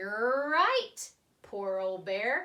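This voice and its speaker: A woman uses a put-on character voice. Her pitch sits fairly high. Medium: read story. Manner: cheerful, persuasive.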